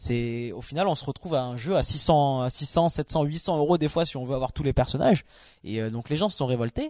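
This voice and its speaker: A man with an unremarkable speaking voice talks at a moderate pace, his fairly high pitch showing ordinary pitch variation. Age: 20s. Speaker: logistics worker, video game guest. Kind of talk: casual chat.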